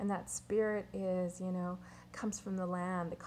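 The pace is moderate. The intonation stays monotone and flat. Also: woman. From Saddle Lake Cree Nation, Alberta, Canada; Alberta, Canada. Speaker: artist and professor; professor. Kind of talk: personal statement about her art. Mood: warm, smiling, reflective. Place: home room. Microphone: webcam.

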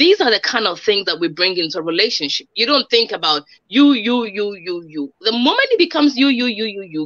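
Over a quiet background, the speaker moves at a fairly quick pace with very wide pitch swings. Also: woman. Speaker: relationship expert and motivational speaker; show host, guest. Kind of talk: interview. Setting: video call. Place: home room. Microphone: video call.

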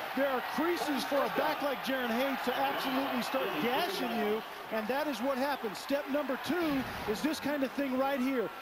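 Over noticeable background noise, a man talks in an extremely high pitch. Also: fairly even intonation, moderate pace, very even loudness. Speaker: color commentator, former football player. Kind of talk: live sports commentary. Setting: stadium broadcast booth.

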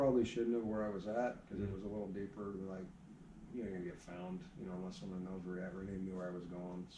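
Very deep, low pitch from a man talking at a very fast pace. His intonation is fairly even, with noticeable background noise behind him. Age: 40s. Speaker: archery shop owner. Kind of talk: casual chat. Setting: archery shop. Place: shop. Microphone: camera far.

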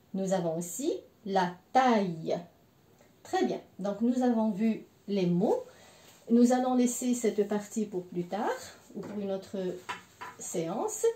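A woman speaks very slowly with long, frequent pauses and ordinary pitch variation, with audible room echo around her. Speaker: French language teacher. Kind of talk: language lesson. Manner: slow, repeating words for learners. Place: home room. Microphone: camera far.

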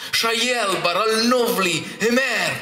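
A man talks in a raised, projected voice. Light background noise sits behind him. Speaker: poetry reader. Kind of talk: poetry reading. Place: hall. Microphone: camera far.

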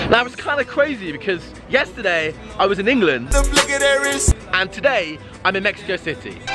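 A man speaks with long, frequent pauses through loud background noise. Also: fairly quick pace, dry sound with no echo. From London, England. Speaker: street magician. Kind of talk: casual vlog talk to camera. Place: street. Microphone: phone near.

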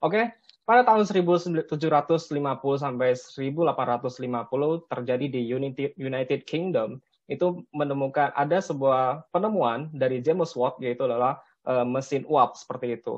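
A normal speaking voice from a man, fairly high in pitch and fairly slow, with ordinary pitch variation, big swings in loudness and a quiet background. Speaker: civil engineer; webinar presenter. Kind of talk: webinar presentation. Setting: video call. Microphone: webcam.

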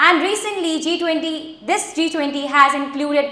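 A woman's raised, projected voice carries a bright, sharp tone amid audible room echo. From India. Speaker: SSB aspirant. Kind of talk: lecturette speech. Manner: hesitant. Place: classroom.

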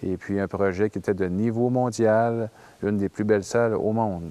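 A man speaks at a moderate pace with fairly low pitch and a dark, mellow tone. His pitch varies in an ordinary way.

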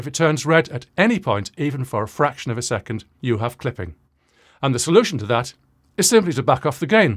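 A man speaks fairly quickly with very wide pitch swings and a somewhat breathy voice. The background is quiet. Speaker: audio recording educator. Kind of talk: tutorial. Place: home room. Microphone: studio mic.

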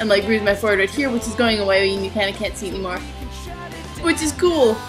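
Clear music plays behind a woman speaking at a medium pitch with ordinary pitch variation. Her pace is very fast, broken by long, frequent pauses. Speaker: vlogger. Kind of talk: casual talk to camera. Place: home room. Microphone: webcam.

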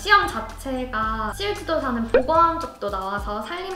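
A woman speaks over clear music in the background. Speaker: forest kindergarten instructor. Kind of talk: interview answer. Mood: cheerful, smiling, laughs. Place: studio. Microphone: lapel.

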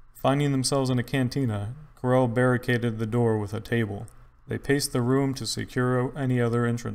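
Intonation holds fairly even. The voice is an unforced reading voice.

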